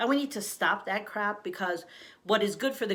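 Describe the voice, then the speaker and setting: Lively intonation from a woman at medium pitch, fairly quick in pace, with audible room echo. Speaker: life coach. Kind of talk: motivational talk to camera. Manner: fast.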